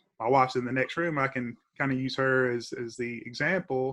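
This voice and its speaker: Over a quiet background, a man with an eastern Kentucky accent speaks at a medium pitch, his bright, sharp tone carried on fairly even intonation. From Clay County, eastern Kentucky. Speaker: professor and attorney. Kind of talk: interview. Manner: halting, many fillers.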